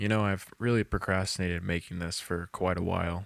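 A man with a low pitch and vocal fry, fairly even intonation, and a fairly quick pace

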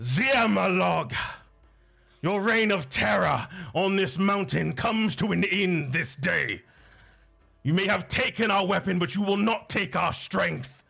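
Putting on a character voice at a high pitch, a man speaks fairly slowly with long, frequent pauses while faint music plays in the background. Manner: commanding, declaring.

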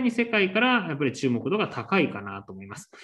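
His pitch jumps over a very wide range. The man talks very fast. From Shizuoka, Japan. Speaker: wine course instructor. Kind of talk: lecture. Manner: polite formal with many fillers.

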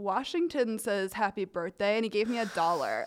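A woman with a normal speaking voice talks at a moderate pace and ordinary pitch variation on a very clean recording with a silent background. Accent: American. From rural Ohio. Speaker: comedy writer. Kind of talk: casual chat. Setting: studio.

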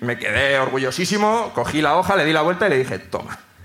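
Noticeable background noise surrounds a man who talks fairly quickly with lively intonation. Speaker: comedian, screenwriter. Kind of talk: stand-up storytelling. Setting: stage with live audience.

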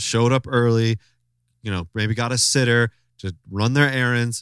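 In a dry, close sound with no echo, a man talks at a moderate pace. His tone is animated and his pitch medium. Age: 30s. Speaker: podcast host. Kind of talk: casual chat. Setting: video call.

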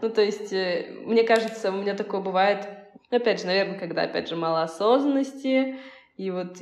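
A woman with a medium pitch talks at a moderate speed, her pitch varying in an ordinary way. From Russia, Volzhsky. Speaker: marketer and indie singer. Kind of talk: casual chat. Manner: halting.

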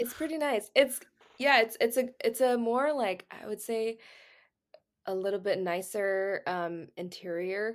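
In an American accent, a woman with a normal speaking voice and fairly high pitch talks at a fairly slow pace with ordinary pitch variation on a very clean recording with a silent background. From Texas. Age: 20s. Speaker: healthcare administration resident. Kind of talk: casual chat.

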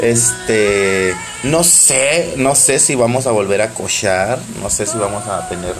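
A man's fairly low voice, with ordinary pitch variation, comes through noticeable background noise and audible room echo. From Mexico, Baja California Sur. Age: 30s. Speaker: podcast host and tattoo artist. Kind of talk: casual monologue.

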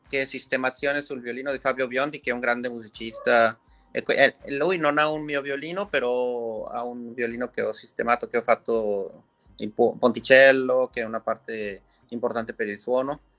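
A man speaks at a moderate pace with a Spanish accent, his pitch medium and his intonation fairly even. The sound is dry and close, with no echo. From Mexico. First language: Spanish (speaking Italian). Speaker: violin maker. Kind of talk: interview.

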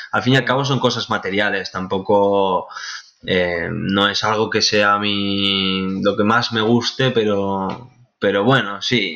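Very slowly, a man speaks in a bright, sharp tone at a fairly low pitch. His intonation is fairly even. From Spain, Valencian Community (Benicassim). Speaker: export sales clerk. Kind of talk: interview. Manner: halting, many fillers.

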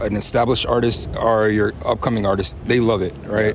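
A man's voice with noticeable background noise. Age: 30s. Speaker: rapper and military member. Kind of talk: casual interview. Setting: live music event.

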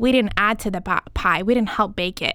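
The recording is very clean, with a silent background. A woman speaks in a normal speaking voice at a moderate pace and medium pitch. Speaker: nonprofit civic organization host. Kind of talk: interview.

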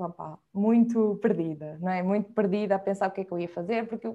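A woman is speaking. Her tone is dark and mellow. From Portugal, Viseu. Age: 20s. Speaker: freelance video director and editor. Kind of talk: casual interview conversation.

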